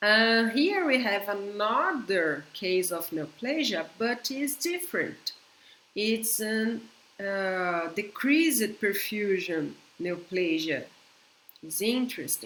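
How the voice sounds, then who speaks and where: A woman with a Brazilian Portuguese accent speaks very slowly, her pitch swinging very widely. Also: medium pitch for a woman. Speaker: veterinarian. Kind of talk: conference lecture. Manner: halting.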